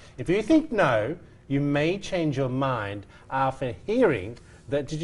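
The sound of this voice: A man talks at a fairly slow pace. His voice is fairly high in pitch and somewhat breathy.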